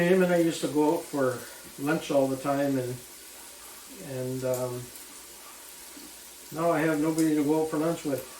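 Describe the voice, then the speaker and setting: Against noticeable background noise and audible room echo, a man with a fairly high pitch speaks in a relaxed tone at a moderate pace with ordinary pitch variation. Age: 70s. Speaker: cooking vlogger. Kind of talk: casual cooking vlog chat. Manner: relaxed, hesitant with fillers and repeats.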